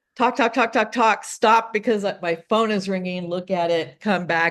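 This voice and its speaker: Medium-pitched woman at a moderate pace with ordinary pitch variation against a quiet background. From Oregon, US. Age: 60s. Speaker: romance novelist. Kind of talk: interview.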